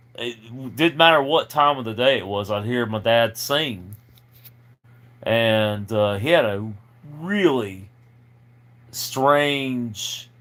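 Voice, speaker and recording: This man speaks at a medium pitch and a very slow pace, with ordinary pitch variation. His loudness swings widely, and his pauses are long and frequent. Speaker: musician. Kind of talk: casual chat. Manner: halting.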